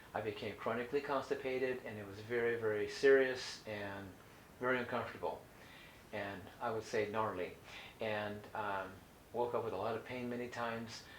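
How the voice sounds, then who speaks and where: Through audible room echo and noticeable background noise, a man with a Californian accent speaks at a moderate pace and medium pitch, with fairly even intonation and long, frequent pauses. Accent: General American (Californian). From US West Coast (Orange County, California). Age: 60s. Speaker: holistic health educator. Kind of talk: educational talk. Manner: halting, many fillers and restarts.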